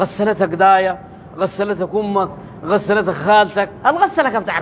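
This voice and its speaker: A man in a Sudanese accent over noticeable background noise. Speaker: religious preacher. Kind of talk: religious sermon.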